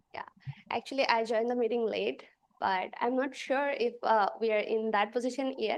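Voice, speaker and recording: A woman with a non-native accent, speaking at a moderate pace with fairly even intonation. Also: fairly high pitch for a woman. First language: not English. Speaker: student. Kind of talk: question in class. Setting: video call.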